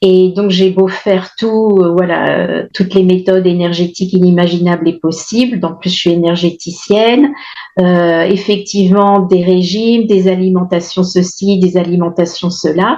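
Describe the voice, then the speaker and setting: Noticeable background noise sits behind a woman speaking fairly slowly at a medium pitch, her intonation fairly even. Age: 60s. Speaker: testimonial client of a nutrition program. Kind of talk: testimony. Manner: halting, many hesitations.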